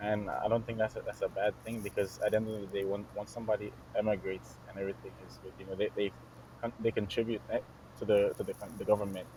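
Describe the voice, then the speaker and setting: The speech comes very fast, with big swings in loudness and ordinary pitch variation. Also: man. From Carriacou, Grenada. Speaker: dancer and choreographer. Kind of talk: interview answer.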